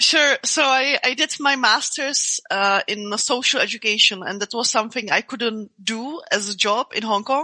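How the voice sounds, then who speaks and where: With a non-native accent, a woman speaks at a moderate pace with hardly any pauses, her high, bright, sharp voice showing ordinary pitch variation in a dry, close sound with no echo. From Czech Republic. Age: 30s. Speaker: martial artist and MMA fighter. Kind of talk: interview conversation. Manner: halting, many repeated words and fillers.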